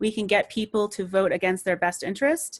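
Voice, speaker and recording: A woman talks at a fairly quick pace with a medium pitch. Her pitch variation is ordinary, over a quiet background. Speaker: political trainer. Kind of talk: training presentation. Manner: fast.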